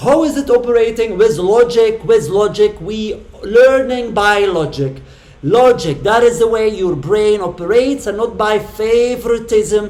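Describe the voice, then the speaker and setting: A high-pitched man at a fairly slow pace, with noticeable background noise. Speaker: channel host debating an AI. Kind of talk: argumentative religious discussion. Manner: halting, with false starts.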